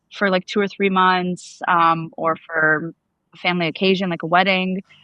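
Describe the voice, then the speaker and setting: With a New York accent, a woman talks at a moderate pace at medium pitch with fairly even intonation. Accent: New York American. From US, New York. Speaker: activist, attack survivor. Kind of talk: interview conversation. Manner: casual, filler-heavy.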